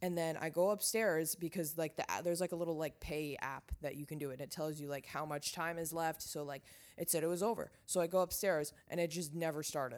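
On a very clean recording with a silent background, a normal speaking voice moves at a fairly quick pace with fairly even intonation and hardly any pauses. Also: woman, fairly low pitch for a woman. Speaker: podcast host. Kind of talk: casual monologue. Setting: lying in bed at home. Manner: casual, filler-heavy.

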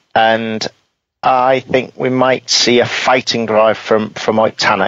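This man talks at a fairly slow pace. His intonation is monotone and flat. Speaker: rally podcast co-host and analyst. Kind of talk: casual chat. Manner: hesitant, with fillers.

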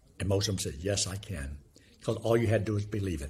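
A somewhat breathy man's voice, fairly low, with very wide pitch swings. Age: 70s. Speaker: evangelist and former youth ministry leader. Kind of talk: interview; gospel presentation. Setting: video call.

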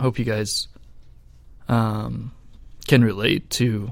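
This man speaks at a medium pitch with ordinary pitch variation and some vocal fry. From Idaho, US (Boise). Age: 30s. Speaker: church volunteer and security guard. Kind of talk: testimony.

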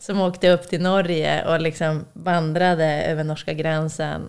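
Her voice fairly low, a woman speaks at a moderate pace with monotone, flat intonation. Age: 30s. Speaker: podcast guest. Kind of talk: casual chat.

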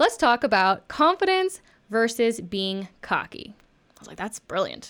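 A woman's plain, everyday voice, fairly high in pitch, with an American accent, at a fairly slow pace, in a very clean recording with a silent background. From Texas. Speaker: actress and podcast host. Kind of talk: casual chat.

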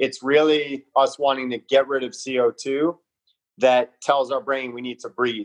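On a dry, close recording with no echo, a man speaks with a Southern Californian accent. His medium-pitched voice holds monotone, flat intonation at a fairly slow pace. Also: big swings in loudness. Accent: Southern California American. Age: 40s. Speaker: performance coach. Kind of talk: casual interview.

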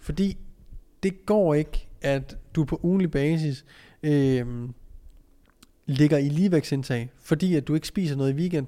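Over a very clean, silent background, a man with a fairly high pitch and a dark, mellow tone speaks at a moderate pace with ordinary pitch variation. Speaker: strength coach and podcast host. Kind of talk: solo podcast monologue. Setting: training gym office.

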